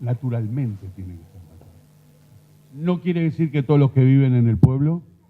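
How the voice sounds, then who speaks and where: A man speaks at a fairly slow pace. His medium-pitched voice has lively intonation. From Uruguay. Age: 60s. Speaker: rural doctor. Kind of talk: conference talk.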